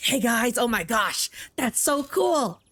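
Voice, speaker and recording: Putting on a character voice, a man speaks at an extremely high pitch and a fairly slow pace with ordinary pitch variation. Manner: youthful, excited.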